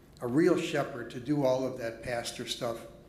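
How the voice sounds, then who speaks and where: With audible room echo and noticeable background noise, a man with an American accent talks at a moderate pace with fairly even intonation. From Chicago. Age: 70s. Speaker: pastor. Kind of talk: speech at a congregation meeting. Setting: church.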